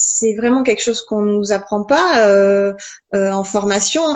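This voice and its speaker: A woman with a fairly high voice talks very slowly, her pitch varying in an ordinary way. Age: 40s. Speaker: naturopath and personal coach. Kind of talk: casual interview chat. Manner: halting, many hesitations.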